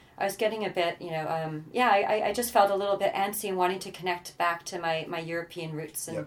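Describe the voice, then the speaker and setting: With a Canadian accent, a woman talks very fast with fairly even intonation over noticeable background noise. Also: medium pitch for a woman. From Canada. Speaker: social entrepreneur. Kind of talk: interview. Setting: in person, Amsterdam.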